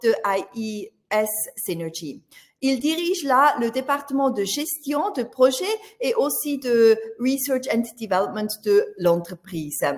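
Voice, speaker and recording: With a slight Swiss German accent, a woman speaks at a fairly slow pace. Her pitch is high. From Switzerland (Swiss German). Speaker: business journalist moderating a webinar. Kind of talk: webinar moderation and speaker introductions. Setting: online webinar. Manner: hesitant, many filler sounds.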